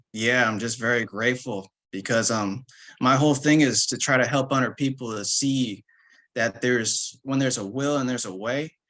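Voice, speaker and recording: A man with an American accent, bright, sharp tone, fairly even intonation and moderate pace, over a quiet background. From Berkeley, California. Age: 30s. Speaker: artist. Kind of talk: panel discussion.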